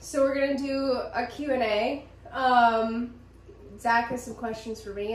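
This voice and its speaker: A woman with an American accent speaks at a fairly high pitch, her intonation fairly even. Her loudness swings widely, and the room echo is audible. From central Pennsylvania. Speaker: podcast co-host. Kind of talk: casual chat.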